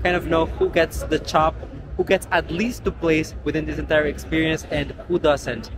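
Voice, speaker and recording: A man at a moderate pace, dry sound with no echo, noticeable background noise behind him. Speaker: pageant vlogger. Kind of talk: casual vlog chat. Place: hall. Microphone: phone near.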